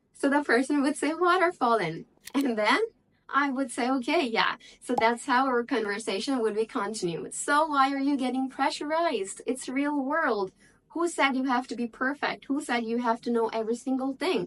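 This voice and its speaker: A woman speaks at a moderate pace in a high voice, her intonation lively. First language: Bengali. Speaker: English-speaking tutor. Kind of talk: tutorial. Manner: casual, conversational.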